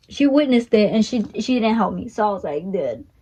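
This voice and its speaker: A woman speaks at a fairly quick pace. Her voice is fairly high and somewhat breathy. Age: young. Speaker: vlogger. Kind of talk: casual storytelling. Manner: halting, many fillers.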